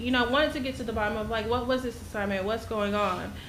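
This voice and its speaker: A shaky, fairly high-pitched woman's voice with fairly even intonation, audible room echo and noticeable background noise. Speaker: concerned parent. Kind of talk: public comment at school board meeting. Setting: school board meeting. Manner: halting.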